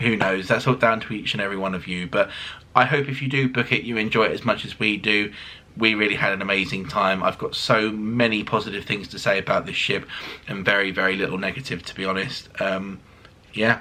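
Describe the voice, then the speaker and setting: His pitch is fairly low for a man. The pace is fairly quick. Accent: British. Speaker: cruise vlogger. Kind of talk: casual review monologue. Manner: fast; animated.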